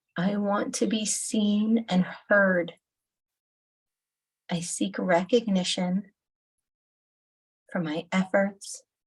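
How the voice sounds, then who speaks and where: A woman's somewhat breathy voice at a very slow pace, fairly even in intonation, with long, frequent pauses. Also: medium pitch for a woman. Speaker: holistic nutritionist and EFT tapping guide. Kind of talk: guided EFT tapping session.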